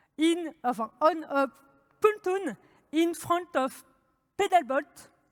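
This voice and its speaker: A woman speaks very slowly in a French accent. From France. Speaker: developer advocate. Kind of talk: conference talk.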